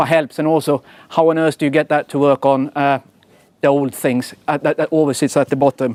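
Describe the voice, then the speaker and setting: A man with a Swedish accent at a fairly quick pace, dry and close with no echo. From Sweden. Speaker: software engineering executive. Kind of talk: conference talk. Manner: casual, with many fillers and repetitions.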